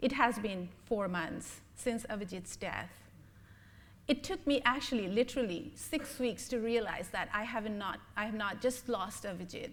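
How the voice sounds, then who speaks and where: With ordinary pitch variation and a fairly high pitch, a woman talks amid audible room echo. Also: moderate pace. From Bangladesh. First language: Bengali. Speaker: blogger and humanist lecturer. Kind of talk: lecture. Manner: halting, with many fillers.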